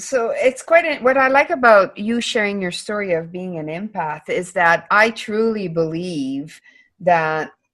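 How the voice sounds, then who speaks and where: Against a quiet background, a woman talks at a medium pitch and a fairly slow pace. Her pitch swings very widely. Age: 50s. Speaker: podcast host. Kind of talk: interview.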